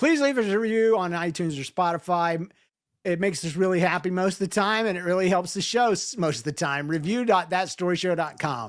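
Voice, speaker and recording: On a very clean recording with a silent background, a man with an American accent speaks fairly quickly at a high pitch with ordinary pitch variation. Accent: can slip into Southern accent at will. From US South. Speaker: podcast host. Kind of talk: casual chat.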